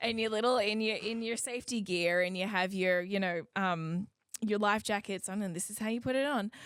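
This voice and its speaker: Talking at a fairly quick pace, a woman keeps a medium pitch and a fairly even intonation. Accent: American. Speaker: singer and cruise ship performer. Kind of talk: casual interview chat.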